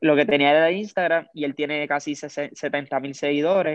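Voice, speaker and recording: A man speaks in a plain, everyday voice, fairly high in pitch with fairly even intonation. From Puerto Rico, Lares (west). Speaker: music video director. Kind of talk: casual interview.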